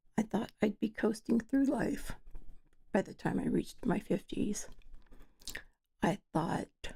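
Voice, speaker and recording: A woman's dark, mellow voice carries vocal fry, ordinary pitch variation and a fairly slow pace. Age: 50s. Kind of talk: casual talk to camera.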